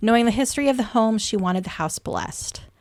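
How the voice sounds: The voice is a natural reading voice. Pitch moves up and down in an ordinary way.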